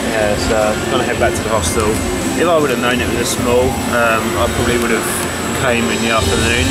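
Loud music plays in the background as a man speaks at a fairly quick pace. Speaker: travel vlogger. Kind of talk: casual vlog chat. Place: market. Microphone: phone near.

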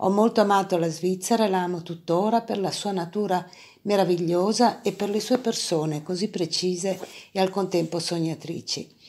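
A woman speaks at a moderate pace with fairly even intonation. Her voice sits at a medium pitch and has a dark, mellow tone. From northern Italy, Parma. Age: 60s. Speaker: artist and art academy professor. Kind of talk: personal testimony.

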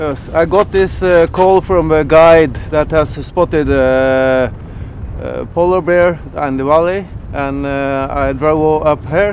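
Over light background noise, the voice moves at a very slow pace with fairly even intonation and a dry sound with no echo. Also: man. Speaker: interviewee. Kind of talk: interview answer. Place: open country.

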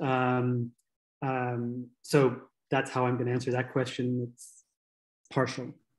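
A man's very slow, monotone, flat delivery with long, frequent pauses and big swings in loudness, against a quiet background. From Kenya (Nairobi); Kenya. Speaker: nonprofit co-founder and CEO; guest. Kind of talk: webinar presentation. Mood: earnest, candid.

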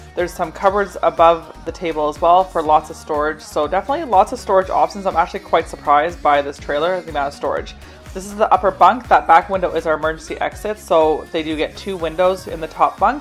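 Faint music sits behind a woman who talks at a very fast pace with hardly any pauses. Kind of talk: casual tour narration. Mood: pleased, upbeat. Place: home room. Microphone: phone near.

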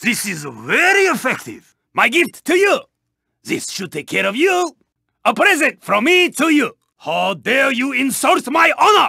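A man puts on a character voice. His pitch is extremely high, and his pace is moderate. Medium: video game. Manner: formal, clipped, dropping articles.

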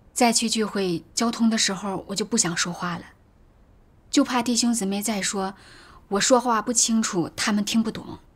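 Her voice somewhat breathy, a woman talks at a fairly high pitch and moderate pace with fairly even intonation. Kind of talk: testimony. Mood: troubled, earnest. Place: home room.

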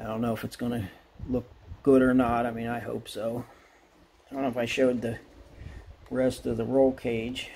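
Dark and mellow in tone, a man with an American accent talks at a moderate pace in a monotone, flat intonation, with long, frequent pauses. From Pennsylvania, US. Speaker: model car hobbyist YouTuber. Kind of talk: casual hobby video update. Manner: halting, many fillers and restarts. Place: workshop. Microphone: phone near.

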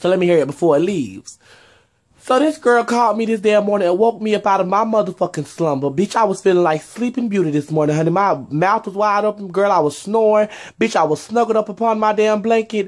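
An animated voice at a very fast pace, over a quiet background. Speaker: vlogger; vlogger telling a story. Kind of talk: casual storytelling vlog. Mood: sassy, exasperated storytelling. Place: home room. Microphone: phone near.

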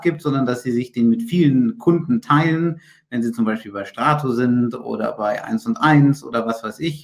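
Against a quiet background, a man speaks fairly slowly at a fairly high pitch with ordinary pitch variation. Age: 20s. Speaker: IT consultant and managing director; webinar presenter. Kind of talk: webinar lecture. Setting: video call. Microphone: video call.

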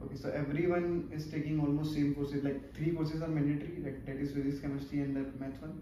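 A man's fairly high voice, flat and monotone, at a fairly quick pace, with light background noise and audible room echo. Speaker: interviewer, channel host. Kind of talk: interview questions. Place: office. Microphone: camera far.

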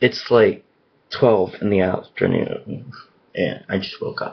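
A raspy put-on character voice from a man, medium in pitch and fairly slow in pace. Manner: tired, casual.

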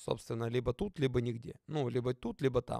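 A man's voice, dry with no echo, against a quiet background. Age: 30s. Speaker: football player and youtuber; youtuber. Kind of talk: casual vlog Q&A. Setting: studio. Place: home room. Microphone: studio mic.

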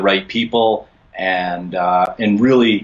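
This man has a fairly low pitch with ordinary pitch variation. It is an ordinary speaking voice. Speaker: podcast guest. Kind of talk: interview answer. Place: home room. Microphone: video call.

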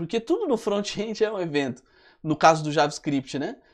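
This man has an ordinary speaking voice with a fairly high pitch and lively intonation. He talks at a moderate pace over a quiet background. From Brazil. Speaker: web development instructor. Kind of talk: live webinar tutorial. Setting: live stream. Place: studio. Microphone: lapel.

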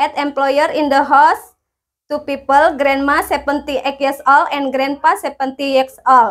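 A woman with an Indonesian accent speaks at a high pitch and a very slow pace. The background is quiet. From Indonesia, West Java. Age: 30s. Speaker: domestic helper applicant. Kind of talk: self-introduction video. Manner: formal. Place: empty room. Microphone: lapel.

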